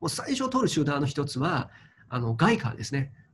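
The voice moves through very wide pitch swings over light background noise. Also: man. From China. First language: Chinese (speaking Japanese). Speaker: crypto investment commentator. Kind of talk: interview commentary. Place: home room. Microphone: webcam.

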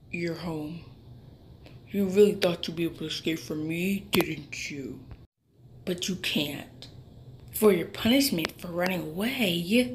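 Putting on a character voice, a woman talks at a fairly slow pace and fairly low pitch, with long, frequent pauses. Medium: audio drama. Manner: menacing, contemptuous.

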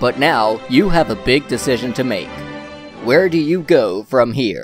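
Music plays in the background as a man talks at a fairly slow pace with lively intonation. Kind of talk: TV commercial read.

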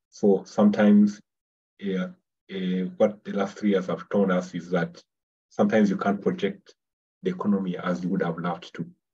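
A man with a fairly low pitch and fairly even intonation speaks at a moderate pace, leaving long, frequent pauses. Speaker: webinar presenter. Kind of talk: webinar presentation. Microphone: webcam.

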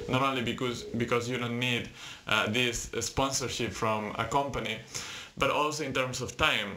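A man's monotone, flat intonation at a moderate pace. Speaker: presenter. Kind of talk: tutorial. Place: home room. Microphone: webcam.

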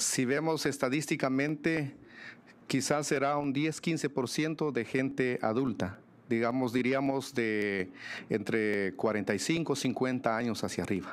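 A man talks at a very slow pace with very even loudness and ordinary pitch variation. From Guatemala. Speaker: mayor; mayor, panelist. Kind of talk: panel presentation; panel discussion answer. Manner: frequent hesitations with filler este. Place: meeting room. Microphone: podium.

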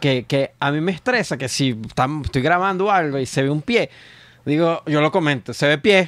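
Quiet background, dry sound with no echo, a man at a moderate pace. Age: 30s. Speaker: comedian. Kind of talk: casual chat. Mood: humorous, relaxed storytelling. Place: studio. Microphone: studio mic.

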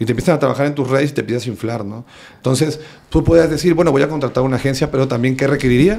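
A man with a Veracruz Mexican accent talks very fast in a fairly high voice with ordinary pitch variation. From Veracruz, Mexico. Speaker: stand-up comedian. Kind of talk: casual chat. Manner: animated. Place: home room. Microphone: studio mic.

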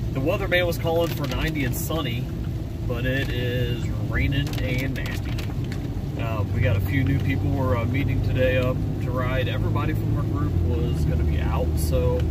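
A man's voice in a dry sound with no echo, amid loud background noise. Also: moderate pace. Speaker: off-road vlogger. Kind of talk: casual vlog chat. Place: car. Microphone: phone near.

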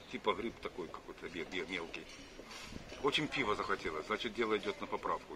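Speech comes at a fairly quick pace. Music plays in the background. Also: man. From Brest, Belarus. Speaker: amateur joke teller. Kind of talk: casual anecdote telling to camera. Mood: relaxed, humorous. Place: cafe. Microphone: phone near.

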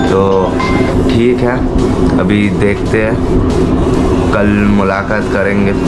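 A very slow pace with music in the background. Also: man. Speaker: vlogger. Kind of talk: casual vlog chat. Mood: angry, upset after a fight. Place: home room. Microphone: phone near.

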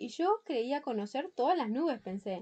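A woman speaks at a moderate pace in a gentle, warm tone, her pitch swinging very widely. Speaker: audiobook narrator. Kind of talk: bedtime story reading aloud, children's tale. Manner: gentle, warm, storytelling.

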